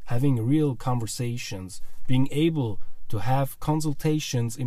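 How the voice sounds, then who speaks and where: A man speaks with a Swiss German accent, his voice somewhat breathy and dark, mellow in tone. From Switzerland. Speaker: podcast host, language learning coach. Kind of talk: podcast intro monologue. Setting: studio microphone.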